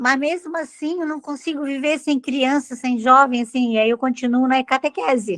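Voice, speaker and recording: Her voice high, a woman speaks at a moderate pace with ordinary pitch variation and hardly any pauses. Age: 70s. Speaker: retired teacher and catechist. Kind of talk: casual chat.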